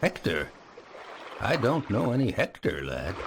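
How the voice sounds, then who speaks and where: Through clear background noise, a man puts on a character voice at a medium pitch and a moderate pace. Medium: video game. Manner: warm, familiar.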